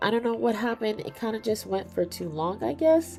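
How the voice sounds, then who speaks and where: Music plays in the background. A woman is speaking over it. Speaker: artist streamer. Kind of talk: casual livestream chat while drawing. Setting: livestream. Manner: hesitant, with many fillers.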